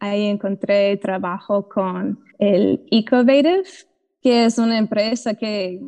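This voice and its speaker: A woman's very slow, dark and mellow medium-pitched voice with an English accent. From US South (Georgia). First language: English (speaking Spanish). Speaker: mycologist and soil restorer. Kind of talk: interview. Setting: video call.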